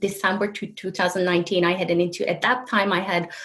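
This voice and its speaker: A woman speaks in a Turkish accent. Background noise is noticeable. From Turkey. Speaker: healer and coach. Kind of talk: interview conversation. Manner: halting, with self-corrections.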